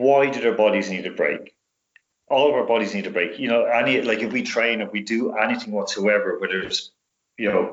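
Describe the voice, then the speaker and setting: Speaking at a fairly quick pace, a man talks in a Dublin accent. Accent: Irish (Dublin). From Dublin, Ireland. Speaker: sports specialist and radio host. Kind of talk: podcast interview answer. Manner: casual, conversational.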